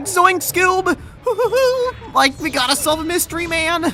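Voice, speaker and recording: This is a put-on character voice with an extremely high pitch, delivered at a moderate pace. Clear background noise can be heard behind it. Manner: comedic, botched.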